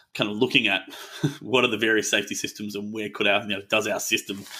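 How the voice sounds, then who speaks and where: A fairly low pitch marks this man's voice. He talks in an Australian accent. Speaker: tech company co-founder and executive. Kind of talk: podcast interview. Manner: casual, relaxed.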